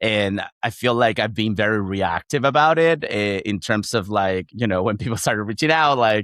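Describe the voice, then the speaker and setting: Delivered at a moderate pace with hardly any pauses and ordinary pitch variation, this voice comes through in a very clean recording with a silent background. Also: man, fairly low pitch for a man. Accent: Chilean. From Chile. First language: Spanish. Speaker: founder of a job-sharing community for communicators. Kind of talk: podcast interview. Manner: hesitant, with many fillers and repetitions.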